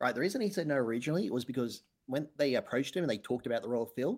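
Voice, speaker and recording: A man's intonation is lively. He rattles along at a very fast pace. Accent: Australian. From Australia. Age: 30s. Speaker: podcast co-host, author. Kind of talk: casual chat.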